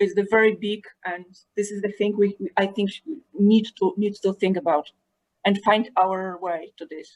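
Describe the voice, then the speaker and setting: The speech comes at a moderate pace in a non-native accent. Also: woman. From Poland. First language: not English. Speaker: early music teacher. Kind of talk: panel discussion. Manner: halting, repeats words.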